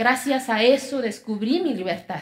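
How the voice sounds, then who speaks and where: Here a woman speaks with an Oaxacan accent. Her intonation is lively. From Oaxaca, Mexico. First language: Zapotec (speaking Spanish). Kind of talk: talk.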